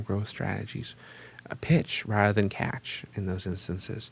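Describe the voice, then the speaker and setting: Here a man speaks with an American accent. His voice is somewhat breathy. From Pittsburgh, western Pennsylvania. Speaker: economic development executive. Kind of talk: interview.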